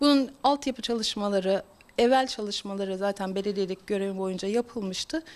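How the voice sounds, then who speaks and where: Hers is an unremarkable speaking voice, a woman at medium pitch talking at a fairly quick pace with ordinary pitch variation. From Turkey, Bursa province (Gemlik). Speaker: politician and geological engineer. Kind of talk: interview statement.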